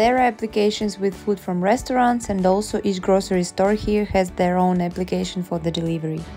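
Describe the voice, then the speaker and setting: A woman with a non-native accent speaks at a medium pitch, with fairly even intonation and hardly any pauses, as music plays in the background. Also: fairly quick pace. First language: Russian. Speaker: vlogger. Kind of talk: casual talk to camera.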